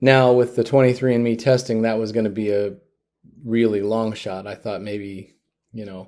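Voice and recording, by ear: Over a silent background on a very clean recording, a man with a fairly low pitch and a dark, mellow tone speaks at a moderate pace with little pitch movement.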